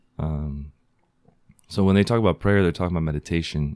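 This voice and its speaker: A man's very deep, low voice with a dark, mellow tone and an American accent. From Southern California. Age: 20s. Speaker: rapper. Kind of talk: casual chat.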